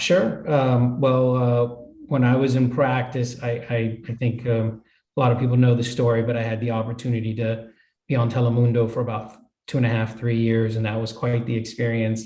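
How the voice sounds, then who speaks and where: A man's somewhat breathy, dark and mellow voice at medium pitch, monotone and flat in intonation, moderate in pace, with audible room echo. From US, Hialeah, Florida (Cuban-American). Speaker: judge. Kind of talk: interview.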